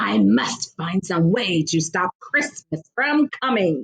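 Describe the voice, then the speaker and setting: A woman puts on a raspy, growling character voice, fairly low in pitch with very wide pitch swings. She goes at a fairly slow pace, her loudness very even, in a dry, close sound with no echo. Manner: growling, scheming.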